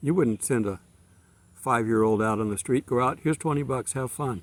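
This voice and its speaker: A normal speaking voice moves at a fairly quick pace with ordinary pitch variation and a dry, close sound with no echo. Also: man. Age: 60s. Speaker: preacher. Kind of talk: sermon. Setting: outdoors. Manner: casual.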